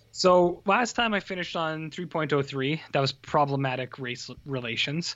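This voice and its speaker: A man with a Canadian accent and a plain, everyday voice, fairly high in pitch, at a moderate pace with hardly any pauses and ordinary pitch variation. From Canada. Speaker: film podcast co-host. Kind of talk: casual chat. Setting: video call.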